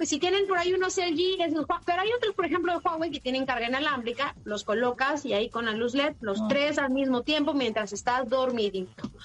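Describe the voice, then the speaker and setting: Over noticeable background noise, a woman talks at a fairly quick pace in a high pitch, with an animated tone and lively intonation. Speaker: technology journalist, podcast co-host. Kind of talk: casual chat, gadget review.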